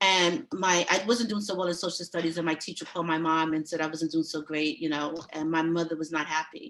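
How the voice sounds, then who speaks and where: Fairly quick and fairly even in intonation, a woman with a New York accent speaks at a fairly low pitch. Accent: New York (Brooklyn) English. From New York City (Brooklyn), born in Panama. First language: Spanish. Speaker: judicial candidate. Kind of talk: candidate speech at a meeting.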